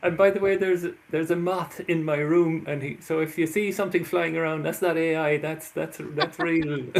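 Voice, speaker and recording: This man has a high pitch and an Irish accent, speaking at a moderate pace. His intonation is monotone and flat, with hardly any pauses. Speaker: author and labyrinth workshop leader. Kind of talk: interview. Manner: halting.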